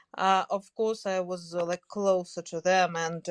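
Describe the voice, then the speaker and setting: A woman's medium-pitched voice in a Russian accent, very slow pace, fairly even intonation, dry, close sound with no echo. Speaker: language teacher. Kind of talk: casual interview. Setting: online audio room. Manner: halting, many fillers.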